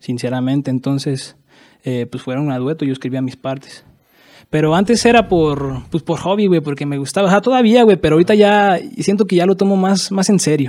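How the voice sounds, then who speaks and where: At a fairly quick pace, a man talks in a dark, mellow tone with lively intonation. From Mexico, Michoacán (Pátzcuaro). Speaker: rapper. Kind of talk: casual chat. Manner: halting.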